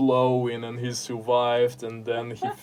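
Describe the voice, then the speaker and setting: Over noticeable background noise, a man with a Russian accent talks at a medium pitch. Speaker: podcaster and writer. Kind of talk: interview, casual chat. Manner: halting, with many fillers.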